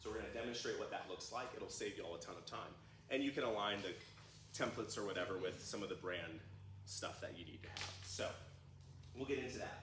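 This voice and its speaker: With an energetic tone and an American accent, the speaker goes very fast but leaves long, frequent pauses, with audible room echo. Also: man. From US Midwest. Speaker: guest speaker on AI video tools. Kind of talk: workshop presentation. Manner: frequent ums, occasional stumbles; casual, energetic.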